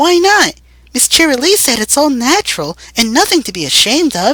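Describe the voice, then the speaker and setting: This put-on character voice sits high and swings very widely in pitch at a moderate pace. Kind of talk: dramatic fanfiction reading.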